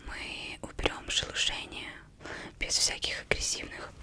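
Whispering is how this woman delivers her words. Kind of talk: soft-spoken roleplay talk. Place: home room. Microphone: studio mic.

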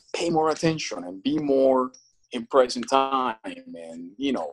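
The speaker is a man. His pace is fairly slow. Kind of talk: interview answer. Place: home room. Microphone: phone near.

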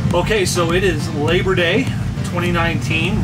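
A man's voice with music in the background. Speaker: RV traveler vlogger. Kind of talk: casual vlog chat. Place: home room. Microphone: camera far.

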